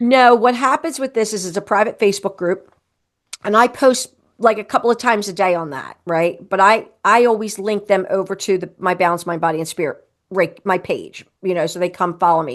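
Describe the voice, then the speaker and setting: Against a quiet background, a woman at medium pitch talks at a fairly quick pace with ordinary pitch variation. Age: 60s. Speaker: Reiki practitioner. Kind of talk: casual chat. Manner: animated.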